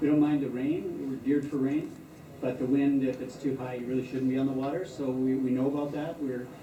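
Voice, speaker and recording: Fairly quick speech from a fairly high-pitched man, with audible room echo and noticeable background noise. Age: 60s. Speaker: retired sea kayaker. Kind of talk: news interview.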